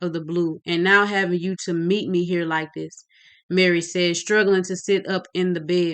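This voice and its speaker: The woman's medium-pitched voice has a bright, sharp tone. She speaks at a fairly slow pace, with monotone, flat intonation. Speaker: author reading own novel. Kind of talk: reading aloud. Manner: occasional stumbles.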